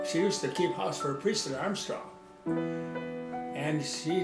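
Loud music plays in the background. The speaker has an American accent and keeps a moderate pace. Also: man. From Butte, Nebraska. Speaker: farmer. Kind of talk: interview answer. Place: kitchen.

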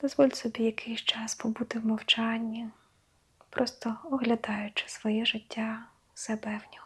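Over noticeable background noise, a woman with a fairly high pitch talks at a fairly slow pace in a monotone, flat intonation, her loudness swinging widely. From Ukraine. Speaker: meditation guide. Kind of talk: guided meditation. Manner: slow, soft-spoken.

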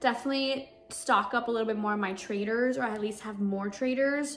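With light background noise behind her, a woman speaks with ordinary pitch variation. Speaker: vlogger. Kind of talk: casual vlog chat. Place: home room. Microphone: phone near.

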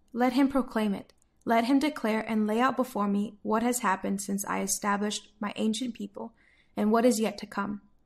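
A woman with an American accent, fairly high-pitched and somewhat breathy, at a moderate pace with fairly even intonation, on a very clean recording with a silent background. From United States. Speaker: Bible reader, daily devotional voice service. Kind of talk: Bible passage reading, devotional narration.

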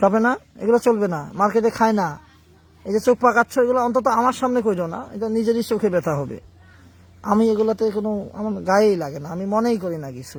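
His voice is high in pitch for a man, with ordinary pitch variation. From Bangladesh, Panchagarh. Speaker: exorcist healer. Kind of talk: exorcism session, scolding a possessed patient. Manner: stern, commanding.

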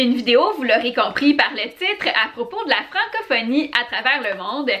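A woman's high-pitched, raised, projected voice with a Quebec accent, lively intonation and a moderate pace. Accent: Québécois French. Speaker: YouTuber, primary school teacher. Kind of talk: casual talk to camera. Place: home room.

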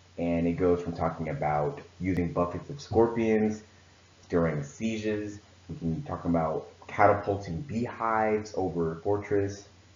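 Audible room echo follows a man speaking at a fairly slow pace with fairly low pitch and ordinary pitch variation. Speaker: presenter. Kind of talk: presentation talk. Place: home room. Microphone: webcam.

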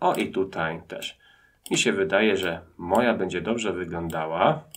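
A man speaks fairly slowly with lively intonation. He has a normal speaking voice. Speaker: teacher. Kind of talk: tutorial. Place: home room.

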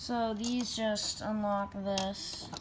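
A woman at a very slow pace, little pitch movement, faint background noise behind her. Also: medium pitch for a woman.

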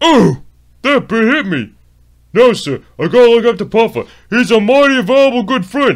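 A man's put-on character voice, extremely high in pitch, at a moderate pace with ordinary pitch variation. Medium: dub. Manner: eager, excitable.

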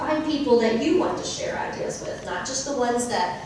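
A woman with an American accent speaks at a fairly quick pace and fairly high pitch, with strong room echo and light background noise. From Texas, Eastland. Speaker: schoolteacher, keynote speaker. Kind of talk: keynote speech. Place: hall.

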